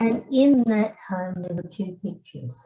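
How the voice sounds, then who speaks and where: A somewhat breathy woman's voice with an Australian accent. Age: 80s+. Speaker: retired scientist and family historian. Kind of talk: conference talk. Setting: hybrid symposium, remote. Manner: hesitant, many fillers.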